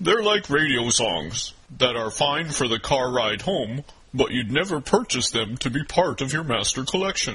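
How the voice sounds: At a moderate pace and medium pitch, a man performs a put-on character voice.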